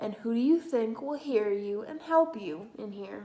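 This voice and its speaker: A woman's gravelly, put-on character voice. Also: fairly high pitch for a woman, moderate pace. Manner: gruff, skeptical.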